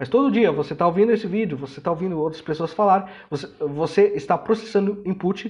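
This man talks at a very fast pace in a high voice, with ordinary pitch variation and hardly any pauses. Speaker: language learning educator. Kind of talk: educational monologue. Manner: halting with many fillers.

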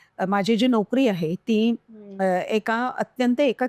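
On a very clean recording with a silent background and a dry, close sound with no echo, a woman with a plain, everyday voice speaks at a fairly high pitch with ordinary pitch variation. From Konkan, Maharashtra (Malvan taluka, Sindhudurg). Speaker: professor and social activist. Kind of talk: interview.

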